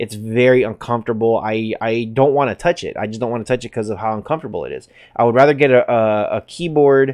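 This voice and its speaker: His intonation stays fairly even at a medium pitch. The man goes at a very fast pace. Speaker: tech reviewer. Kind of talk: product review. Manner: repetitive stammering.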